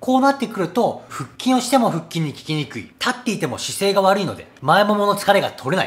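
A man talks at a fairly quick pace. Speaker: fitness trainer. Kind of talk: tutorial. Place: gym. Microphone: phone near.

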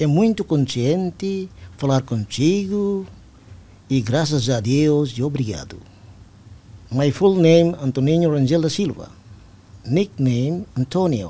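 Somewhat breathy, a man speaks very slowly at a fairly high pitch in a dark, mellow tone with lively intonation and long, frequent pauses. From East Timor. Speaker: army general; guest. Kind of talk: interview. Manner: formal. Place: studio. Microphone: studio mic.

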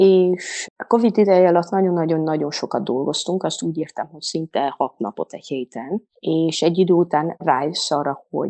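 A woman's very deep, low voice at a moderate pace. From Transylvania, Székely Land (Székelyudvarhely). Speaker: mothers' coach. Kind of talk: casual interview.

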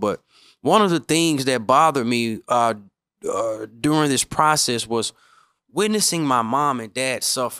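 The tone is bright and sharp. A man is speaking against a quiet background. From Memphis, Tennessee; Tennessee. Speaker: podcast host, real estate coach. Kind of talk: solo podcast monologue; podcast monologue. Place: studio. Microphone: studio mic.

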